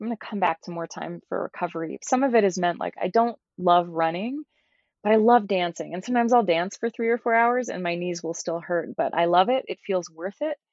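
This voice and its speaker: A woman speaks in a plain, everyday voice at a medium pitch. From US South, Georgia. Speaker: somatics and yoga teacher. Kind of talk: casual chat.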